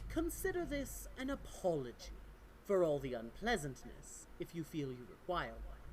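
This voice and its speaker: A put-on character voice moves at a moderate pace over clear background noise. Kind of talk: villainous aristocratic speech. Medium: actual play. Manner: formal, haughty, cutting.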